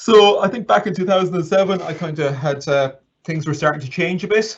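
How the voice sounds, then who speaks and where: In a western Irish accent, a somewhat breathy man talks at a fairly quick pace with ordinary pitch variation. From Ireland, County Mayo. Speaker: assistive technology trainer. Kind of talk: interview. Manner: halting.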